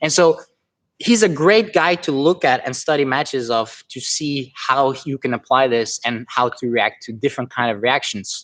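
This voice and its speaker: Over a quiet background, a man with a non-native accent speaks at a moderate pace, his fairly high pitch carrying lively intonation. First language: not English. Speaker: jiu-jitsu instructor. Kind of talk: live stream technique tutorial and Q&A. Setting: live stream. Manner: halting, with frequent repetitions and fillers; casual, conversational.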